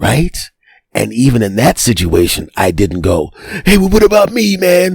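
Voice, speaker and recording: With vocal fry and very wide pitch swings around a medium pitch, a man talks at a moderate pace. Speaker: comedian. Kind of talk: casual podcast talk.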